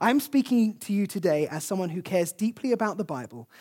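The recording is very clean with a silent background. The pace is fairly quick. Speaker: preacher. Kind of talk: sermon. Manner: fast.

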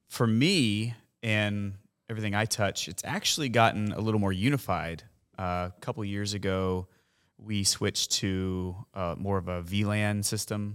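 Recorded very cleanly against a silent background, a man with an American accent has a normal speaking voice. His pitch is fairly low, his pace moderate and his intonation fairly even. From Huntsville, Alabama, US South. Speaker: concert lighting and video crew chief. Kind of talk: casual chat.

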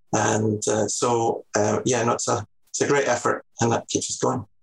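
Here a man speaks with a Scottish accent. His pace is moderate. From Scotland, Edinburgh. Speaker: salon business manager. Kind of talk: interview.

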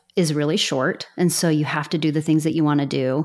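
Very clean and recorded against a silent background, a woman with an American accent speaks at a very deep, low pitch. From Utah, US. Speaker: lawyer.

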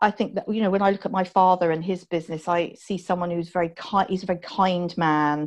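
A woman talks very fast with an American accent. Her intonation stays fairly even against a quiet background. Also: medium pitch for a woman. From southern England (Dorset). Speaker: healthtech CEO and entrepreneur. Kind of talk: interview. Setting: remote call from home. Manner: plain, down-to-earth.

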